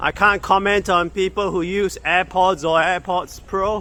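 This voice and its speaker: A man talks at a very slow pace. His pitch is high. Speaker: tech product reviewer. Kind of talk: casual hands-on review vlog. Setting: outdoors walking. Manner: loud; halting.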